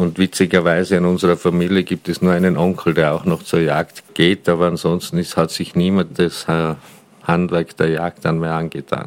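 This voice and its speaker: With noticeable noise behind him, a man talks in a very deep, low voice using flat, monotone intonation. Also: moderate pace. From Austria, Tyrol (Paznaun valley). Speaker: regional hunting association head and wine tavern owner. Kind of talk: interview. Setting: on location at his wine tavern, mobile recording.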